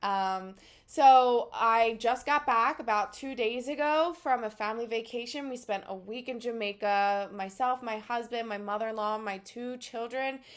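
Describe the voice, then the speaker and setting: A woman with a Philadelphia accent speaks fairly slowly in a fairly high voice with ordinary pitch variation and big swings in loudness, in a very clean recording with a silent background. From US Northeast, Philadelphia. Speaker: psychic energy healer. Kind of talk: casual spiritual talk to camera.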